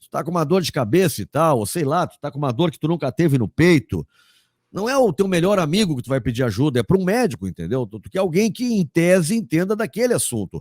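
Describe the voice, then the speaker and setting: A man talks at a very fast pace in an animated tone, with a fairly high pitch, very wide pitch swings and big swings in loudness. The recording is very clean and dry, close with no echo and a silent background. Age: 60s. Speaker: sports journalist and commentator. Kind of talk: interview.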